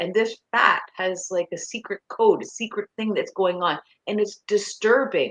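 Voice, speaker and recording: A woman speaks in a normal speaking voice with a Canadian accent, fairly high in pitch and at a fairly slow pace, her pitch varying in an ordinary way, the sound dry and close with no echo. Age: 60s. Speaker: nutrition coach. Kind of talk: interview.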